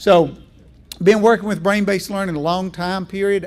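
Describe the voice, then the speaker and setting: With a Southern US accent, a man talks at a very fast pace. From Virginia. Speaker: education speaker. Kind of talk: keynote presentation.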